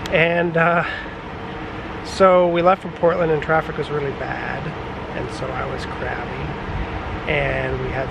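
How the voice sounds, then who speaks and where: A man talks at a fairly slow pace over loud background noise. The sound is dry, with no echo. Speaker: road trip vlogger. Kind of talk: casual vlog chat. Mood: relaxed, slightly hot. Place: open country. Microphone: phone near.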